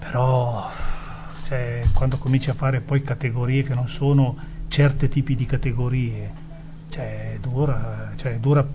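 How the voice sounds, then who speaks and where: Monotone, flat delivery from a man at medium pitch, fairly slow with long, frequent pauses, with music in the background and audible room echo. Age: 60s. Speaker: former footballer and sporting director. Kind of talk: interview. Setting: studio.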